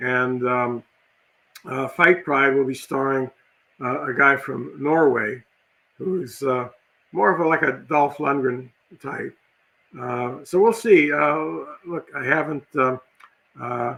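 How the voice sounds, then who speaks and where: This man's voice sits fairly high, with a bright, sharp tone and ordinary pitch variation. He goes very slowly, leaving long, frequent pauses. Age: 70s. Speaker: film director. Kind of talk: interview. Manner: halting, many fillers.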